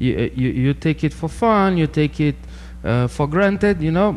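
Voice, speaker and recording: A man speaks with a Portuguese accent. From Brazil. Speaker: sociology PhD researcher. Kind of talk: interview.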